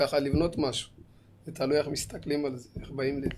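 A man with an unremarkable speaking voice, fairly high in pitch and at a fairly quick pace. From Israel, Ethiopian community. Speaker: cook and community show host. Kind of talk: casual chat. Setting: studio.

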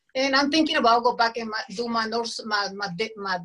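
A woman speaks with a Colombian accent. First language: Spanish. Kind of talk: casual interview chat. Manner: animated, energetic.

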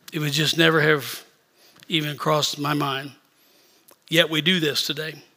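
Speaking at a moderate pace, a man uses a fairly high pitch and monotone, flat intonation. He leaves long, frequent pauses, and the room echo is audible. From rural Missouri. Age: 60s. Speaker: bishop. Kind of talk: sermon. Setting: church service.

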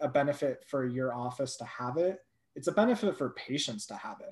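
A man with an American accent has an ordinary speaking voice at a fairly high pitch. He talks at a moderate pace with ordinary pitch variation. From California, Thousand Oaks. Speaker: startup founder. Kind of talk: interview.

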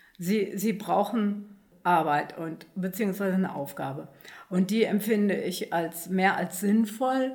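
A woman speaks at a fairly slow pace in a medium pitch with ordinary pitch variation. Hers is an unremarkable speaking voice. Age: 60s. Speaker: volunteer at a senior centre. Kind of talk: casual panel chat.

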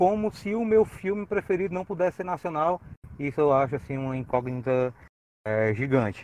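Pitched fairly high, a man talks at a moderate pace with very wide swings in pitch. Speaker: podcast panelist. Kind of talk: casual chat.

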